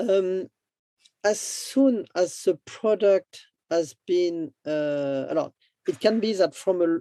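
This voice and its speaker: The speaker has a French accent and talks at a very slow pace. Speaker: business development entrepreneur. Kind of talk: interview. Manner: halting.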